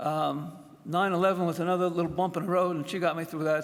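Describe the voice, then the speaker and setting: A man's high-pitched voice with audible room echo. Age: 70s. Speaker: retired fire officer, hall of fame inductee. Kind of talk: acceptance speech. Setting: stage with audience. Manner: halting.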